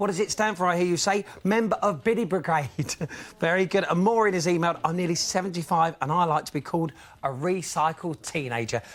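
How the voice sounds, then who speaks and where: A man speaks with a British accent. His voice is high-pitched. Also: ordinary pitch variation, fairly quick pace. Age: young. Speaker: TV presenter. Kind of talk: reading out viewer emails.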